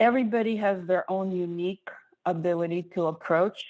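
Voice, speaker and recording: The speaker is a woman with a non-native accent and a fairly low pitch. She talks at a moderate pace. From outside the US. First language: not English. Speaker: therapist and exam coach. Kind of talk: interview.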